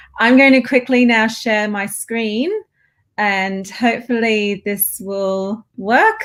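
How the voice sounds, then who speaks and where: With an Australian accent, a woman speaks at a very slow pace. Her intonation is fairly even. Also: fairly high pitch for a woman. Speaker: professor. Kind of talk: academic lecture.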